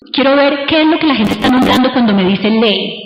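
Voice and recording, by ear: Audible room echo surrounds a woman speaking in a high pitch with lively intonation.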